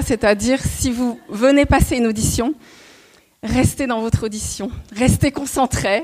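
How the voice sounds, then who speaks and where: Keeping a moderate pace, a woman speaks at a high pitch with fairly even intonation. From Paris region (Montreuil). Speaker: former cabaret dancer and choreographer. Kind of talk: talk to an audience. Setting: stage with audience. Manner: halting, many hesitations.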